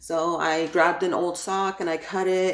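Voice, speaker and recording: Her voice sits at a fairly low pitch for a woman. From New York (Brooklyn), Ecuadorian family. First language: Spanish. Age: adult. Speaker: YouTuber, crafts and parenting. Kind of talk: channel introduction vlog. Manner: casual, filler-heavy (like, um); talkative.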